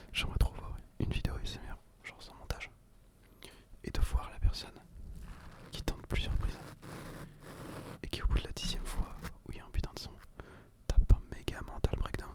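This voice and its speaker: A man whispering at a fairly quick pace, with long, frequent pauses, big swings in loudness, and noticeable background noise. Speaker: ASMR creator. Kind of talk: casual talk to camera.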